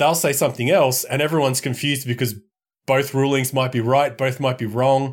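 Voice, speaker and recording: In an Australian accent, a man speaks at a fairly quick pace and medium pitch with flat, monotone intonation, on a very clean recording with a silent background. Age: 40s. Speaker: media company co-founder and games writer. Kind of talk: casual chat.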